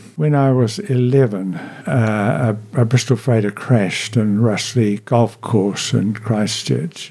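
Against noticeable background noise, a man with a New Zealand accent speaks at a very slow pace, with a medium pitch and ordinary pitch variation. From New Zealand, Marlborough. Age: 70s. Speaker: retired chaplain and minister. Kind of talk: casual interview. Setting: radio studio. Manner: halting with hesitations.

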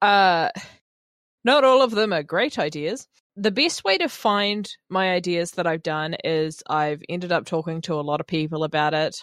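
A woman's fairly low voice with a New Zealand accent and lively intonation, on a very clean recording with a silent background. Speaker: radio host. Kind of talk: radio show hosting, casual chat. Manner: animated on air, deliberately amped up.

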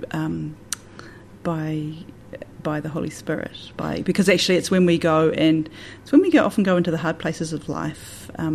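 A woman with a Southland accent speaks at a moderate pace in a very deep, low voice, her intonation monotone and flat, with vocal fry. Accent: New Zealand, Southland. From New Zealand, Southland and the Catlins. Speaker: church minister. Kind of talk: radio interview.

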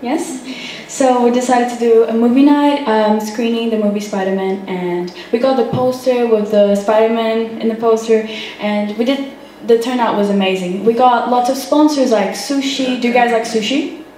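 A woman speaks at a moderate pace and a fairly high pitch with ordinary pitch variation, with noticeable background noise behind her. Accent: Portuguese. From Brazil. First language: Portuguese. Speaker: youth social media manager. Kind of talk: public talk. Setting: cafe with live audience.

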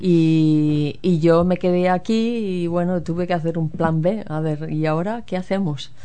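Audible room echo surrounds the voice. The intonation is fairly even. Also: woman. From Spain, Galicia. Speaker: guest. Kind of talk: casual chat.

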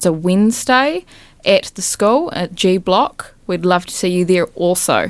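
Speaking fairly slowly, a woman with an unremarkable speaking voice uses a medium pitch and ordinary pitch variation. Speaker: student radio co-host. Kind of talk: casual student radio DJ patter between songs. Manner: relaxed, upbeat and bantering, with slangy praise for songs.

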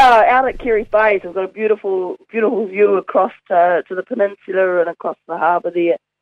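Speaking very fast with hardly any pauses, a woman uses a medium pitch, fairly even intonation and a New Zealand accent. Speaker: community board member. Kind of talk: casual chat. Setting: phone call.

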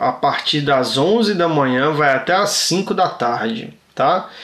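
A man is speaking. His pitch swings very widely. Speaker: community radio co-host. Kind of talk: casual chat.

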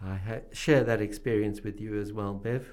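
A man with a New Zealand accent talks at a moderate pace. His voice is fairly low, with a dark, mellow tone. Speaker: radio host. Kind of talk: interview.

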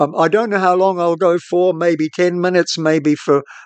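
A man speaks at a moderate pace with a New Zealand accent. The background is quiet, and the sound is dry and close with no echo. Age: old. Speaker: radio host. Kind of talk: solo reflective monologue.

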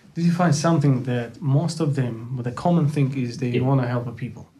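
Over noticeable background noise, a man talks at a fairly quick pace and a fairly high pitch, with ordinary pitch variation. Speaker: community radio host. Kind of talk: casual chat. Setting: studio.

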